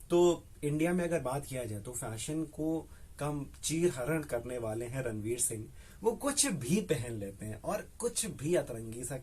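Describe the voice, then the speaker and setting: The tone is animated, and the voice sounds somewhat breathy. Pitch swings very widely throughout. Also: man. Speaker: radio jockey. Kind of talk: casual interview answer, Hindi mixed with English. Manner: conversational, animated, reflective.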